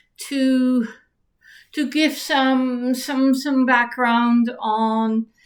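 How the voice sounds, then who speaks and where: Speaking very slowly with a Dutch accent, a woman keeps a high pitch and a monotone, flat intonation. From Netherlands. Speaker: writer and YouTuber. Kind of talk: casual talk to camera on history. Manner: halting, many fillers and restarts.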